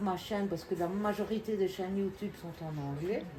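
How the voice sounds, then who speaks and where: In a Belgian accent, a woman talks at a moderate pace and medium pitch with fairly even intonation, noticeable background noise behind her. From Belgium. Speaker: acrylic pouring artist and YouTuber. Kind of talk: live demonstration to visitors. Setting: open day in her studio.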